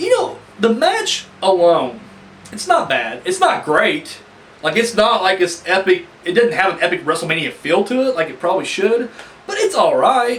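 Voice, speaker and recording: A man with an extremely high pitch speaks at a moderate pace, his pitch swinging very widely over noticeable background noise. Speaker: wrestling reviewer. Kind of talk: casual review talk to camera.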